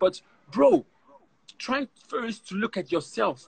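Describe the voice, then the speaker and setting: With a German accent, a man speaks with lively intonation. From Germany. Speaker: professional footballer; guest. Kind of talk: casual interview. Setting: video call. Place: garden. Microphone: video call.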